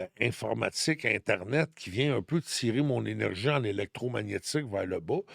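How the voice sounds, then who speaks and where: A man with a Quebec accent at a moderate pace with hardly any pauses, dry and close with no echo, in a very clean recording with a silent background. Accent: Québécois French. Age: 60s. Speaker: numerologist and spiritual guide. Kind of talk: podcast interview, personal testimony.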